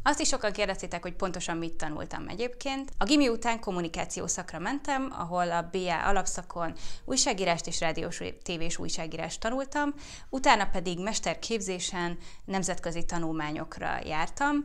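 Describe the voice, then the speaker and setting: With very wide pitch swings, a woman speaks at medium pitch and a moderate pace. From Hungary. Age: 30s. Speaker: YouTuber and fertility awareness educator; YouTuber, fertility awareness educator. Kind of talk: casual Q&A vlog.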